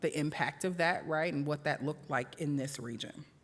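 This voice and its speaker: Someone speaks with a slight Southern US accent in a very clean recording with a silent background. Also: woman. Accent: slight Southern American. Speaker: workshop presenter. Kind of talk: educational presentation. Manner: conversational with many fillers.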